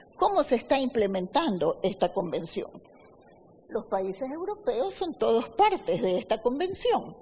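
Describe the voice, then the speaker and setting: Very wide pitch swings run through the voice, with noticeable background noise behind it. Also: woman. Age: 70s. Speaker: lawyer. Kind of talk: debate. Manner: formal.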